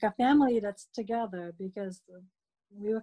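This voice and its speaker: At a moderate pace, the voice is somewhat breathy with a dark, mellow tone, recorded dry and close with no echo. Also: woman. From Philippines. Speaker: immigrant interviewee. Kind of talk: interview recollection. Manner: laughs often.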